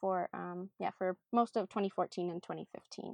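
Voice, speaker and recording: A woman with an Upper Midwest accent, medium-pitched, at a moderate pace. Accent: Upper Midwest American. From Minnesota. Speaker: missionary, nonprofit development worker. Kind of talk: interview, casual chat.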